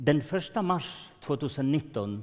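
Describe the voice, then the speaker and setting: Fairly slow speech with lively intonation and a Swedish accent. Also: man. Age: old. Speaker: grandparent of detained children, speaker. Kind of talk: testimony at conference.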